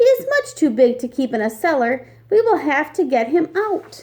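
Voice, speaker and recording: In a put-on character voice, a woman talks at a moderate pace, squeaky and high-pitched, with very wide pitch swings. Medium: read story. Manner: businesslike.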